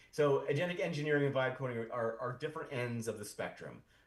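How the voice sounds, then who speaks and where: The man has a fairly high, somewhat breathy voice. He moves at a fairly quick pace with ordinary pitch variation. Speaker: founder of an AI community, tech speaker. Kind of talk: conference talk. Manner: fast; halting, many repetitions.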